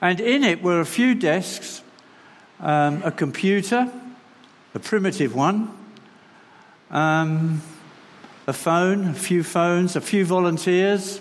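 Over noticeable background noise and audible room echo, a man speaks very slowly in a high voice, leaving long, frequent pauses. His loudness stays very even and his pitch varies in an ordinary way. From London. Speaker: charity representative. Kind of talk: sermon. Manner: halting.

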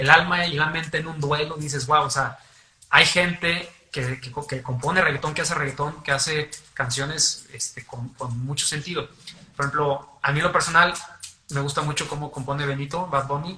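This man's fairly high voice keeps a moderate pace and fairly even intonation while noticeable background noise carries on behind it. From San Luis Potosí, Mexico. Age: young. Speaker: singer-songwriter and lawyer. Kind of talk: radio interview. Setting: radio studio.

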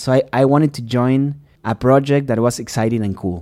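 Speaking with a Spanish accent, a man with a dark, mellow tone and medium pitch moves at a fairly quick pace with ordinary pitch variation, captured on a very clean recording against a silent background. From Uruguay. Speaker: podcast host and scientist. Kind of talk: casual chat.

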